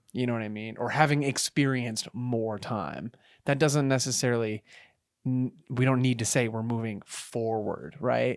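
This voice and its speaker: Delivered at a moderate pace with fairly even intonation, the speech comes from a very clean recording with a silent background. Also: man, medium pitch for a man. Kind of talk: casual chat. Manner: halting.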